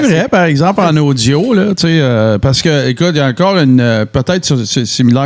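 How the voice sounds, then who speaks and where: A normal speaking voice moves at a fairly quick pace with lively intonation, very even loudness, and hardly any pauses. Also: man, fairly high pitch for a man. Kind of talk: radio voice.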